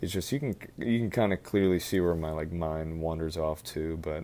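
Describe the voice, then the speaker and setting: A soft-spoken man with a very deep, low voice, a dark, mellow tone and a moderate pace. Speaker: college student. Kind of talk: casual talk to camera.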